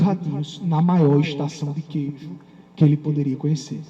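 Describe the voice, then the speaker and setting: Speaking at a moderate pace, a man uses a fairly high pitch with a Paraíba accent. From Paraíba, Campina Grande (Brazil). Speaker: lawyer and law professor, keynote speaker. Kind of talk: conference keynote lecture. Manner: animated.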